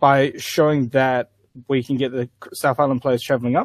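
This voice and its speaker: A man with a New Zealand accent at a medium pitch and moderate pace. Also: dry, close sound with no echo. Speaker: tabletop wargaming player. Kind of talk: casual chat. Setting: video call.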